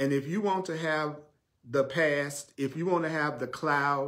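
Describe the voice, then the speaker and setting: A man with a Southern US accent speaks at a fairly slow pace amid audible room echo. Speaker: spiritual teacher. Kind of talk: sermon. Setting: live stream.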